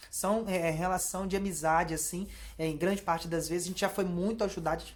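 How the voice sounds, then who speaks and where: With a Brazilian accent, this woman talks very fast in a fairly low pitch and a monotone, flat intonation. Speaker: YouTuber, Brazilian immigrant vlogger. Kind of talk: casual vlog monologue. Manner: hesitant, many repeated fillers.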